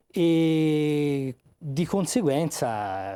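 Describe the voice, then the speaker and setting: A man with a Tuscan accent speaks in a dark, mellow tone with lively intonation. The sound is dry and close with no echo, on a very clean recording with a silent background. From Tuscany. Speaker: author and magistrate. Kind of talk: TV interview. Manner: measured, with hesitations.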